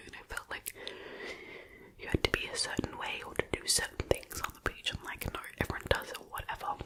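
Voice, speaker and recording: Whispering in an Australian accent at a fairly quick pace, the speaker leaves long, frequent pauses over noticeable background noise. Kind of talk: casual talk to camera. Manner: whispered.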